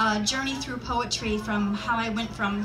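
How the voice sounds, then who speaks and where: Clear music plays in the background. A woman speaks at a moderate pace with a fairly high pitch. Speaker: poet. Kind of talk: casual introduction to an audience. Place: stage. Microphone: camera far.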